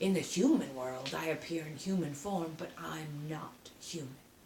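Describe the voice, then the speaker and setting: A woman puts on a character voice in a fairly low pitch. There is audible echo. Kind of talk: bedtime story read aloud. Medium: read story. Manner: sardonic, menacing.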